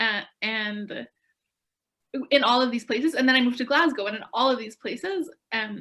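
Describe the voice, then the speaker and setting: A woman with a Canadian accent speaks at a fairly quick pace in a fairly high pitch, a normal speaking voice. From Canada. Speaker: young faith volunteer. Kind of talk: panel Q&A for schools.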